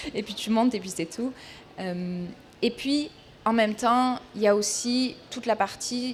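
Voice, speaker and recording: A woman with a fairly high pitch speaks at a very slow pace, somewhat breathy. Her loudness swings widely. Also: ordinary pitch variation. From southern France. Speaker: equestrian consultant, speaker. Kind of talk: talk at a trade fair.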